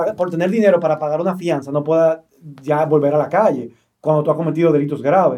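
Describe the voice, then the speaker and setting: A man speaks with a fairly high pitch. His pace is moderate and his intonation fairly even. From Dominican Republic, Santo Domingo. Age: 30s. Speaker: political candidate and activist. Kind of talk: interview.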